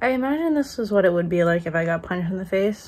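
A woman speaks at a fairly quick pace. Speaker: vlogger. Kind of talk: casual vlog chat. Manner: swollen-cheek speech after tooth extraction. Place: home room. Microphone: phone near.

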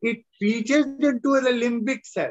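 Against a quiet background, a man with an Indian accent speaks at a moderate pace in an extremely high pitch. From northern India. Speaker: retired professor and lecturer; lecturer. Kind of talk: lecture. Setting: video call. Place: home room. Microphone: video call.

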